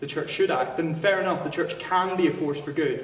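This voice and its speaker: A man talks in a Northern Irish accent. Noticeable background noise and audible room echo fill the recording. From Northern Ireland. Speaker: student debater. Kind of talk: formal debate. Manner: halting, with frequent fillers and restarts.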